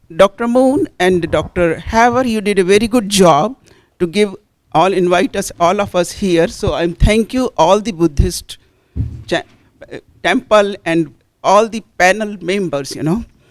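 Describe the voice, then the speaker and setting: A woman speaks at a fairly slow pace with an Indian accent, her pitch rising and falling in an ordinary way. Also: medium pitch for a woman. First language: Hindi. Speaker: audience member asking a question; Hindi teacher. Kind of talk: audience question at panel discussion.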